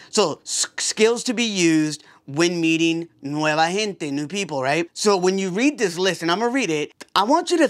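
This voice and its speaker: A loud, energetic man with a high pitch, lively intonation and a moderate pace. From Puerto Rico. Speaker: podcast host. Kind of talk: casual vlog talk.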